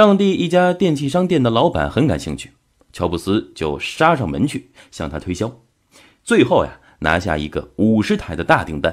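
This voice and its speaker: Vocal fry from a man at medium pitch, moderate pace, very wide pitch swings, on a very clean recording with a silent background. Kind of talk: audiobook-style book summary narration. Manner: steady, measured, explanatory; formal, narrative storytelling tone.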